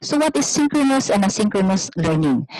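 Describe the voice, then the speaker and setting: A quiet background with dry sound and no echo. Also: woman. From Philippines. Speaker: university professor. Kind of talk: webinar presentation. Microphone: video call.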